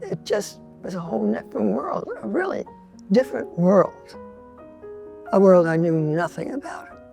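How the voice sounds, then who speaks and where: A woman with a New York accent at a moderate pace, music playing in the background. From New York City, the Bronx. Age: 90s. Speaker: painter. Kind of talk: interview. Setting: artist's loft.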